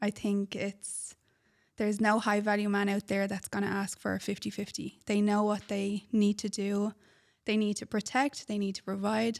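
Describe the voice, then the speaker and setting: A woman's medium-pitched, monotone, flat delivery at a moderate pace, in a very clean recording with a silent background. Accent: Irish. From Ireland. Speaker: podcast co-host, relationship advice. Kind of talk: casual chat.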